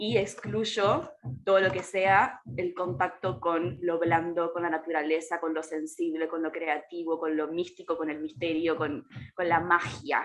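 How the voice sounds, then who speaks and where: Over noticeable background noise, a woman speaks at a fairly slow pace in a fairly low voice with ordinary pitch variation. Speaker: astrologer and ecofeminist activist. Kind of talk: casual chat.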